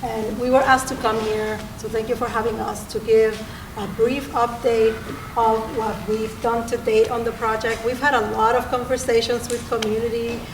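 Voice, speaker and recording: A woman with a fairly high pitch speaks in a monotone, flat intonation, with noticeable background noise and audible room echo. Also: moderate pace. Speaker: transportation project manager. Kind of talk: public meeting presentation. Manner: tends to speak quietly.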